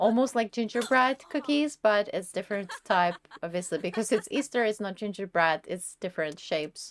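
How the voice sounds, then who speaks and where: Here a woman with a Czech accent speaks at a moderate pace with hardly any pauses, a fairly high pitch and lively intonation. The recording is very clean with a silent background and a dry, close sound with no echo. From Czech Republic. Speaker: gaming YouTuber. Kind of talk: tutorial. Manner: casual, conversational.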